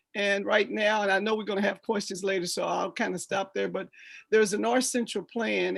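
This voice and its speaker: A woman with an American accent, music playing in the background. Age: 60s. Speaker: retired community volunteer. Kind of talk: casual podcast interview.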